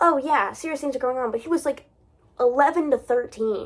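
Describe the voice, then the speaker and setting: A woman speaks at a high pitch with lively intonation and a moderate pace. The recording is very clean, with a silent background. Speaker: book reviewer. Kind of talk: casual book discussion monologue. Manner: halting, with self-corrections.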